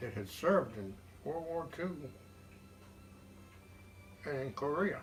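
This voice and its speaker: Against background music, a man with a fairly high voice talks at a fairly slow pace, swinging his pitch very widely and pausing long and often. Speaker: war veteran. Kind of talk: interview answer.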